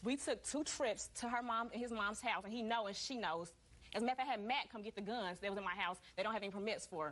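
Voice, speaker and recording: An animated woman at a very fast pace, her fairly high pitch moving with ordinary variation. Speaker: litigant in a small-claims TV court. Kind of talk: courtroom testimony.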